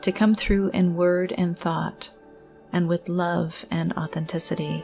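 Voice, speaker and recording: A woman speaks at a fairly slow pace in a calm, soothing tone, her fairly low voice flat and monotone over music in the background. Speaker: spiritual counselor and meditation guide. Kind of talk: guided meditation. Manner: calm, slow, soothing.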